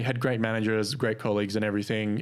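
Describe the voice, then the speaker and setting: On a very clean recording with a silent background, a man talks very fast at a medium pitch. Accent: Australian. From Australia. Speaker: podcast host. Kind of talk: casual chat.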